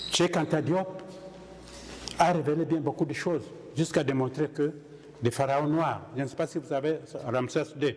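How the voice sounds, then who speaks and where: A man speaks at a moderate pace with fairly high pitch and fairly even intonation, leaving long, frequent pauses. Noticeable background noise runs underneath. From DR Congo. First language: Kihunde (speaking French). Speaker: conference speaker. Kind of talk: Q&A discussion.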